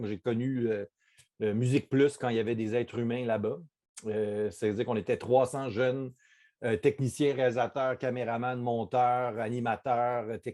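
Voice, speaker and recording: At a moderate pace, a man speaks in a dark, mellow tone with fairly even intonation. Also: quiet background. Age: 40s. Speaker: TV director and screenwriter. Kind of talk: interview. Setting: video call. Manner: halting, many fillers and repeats.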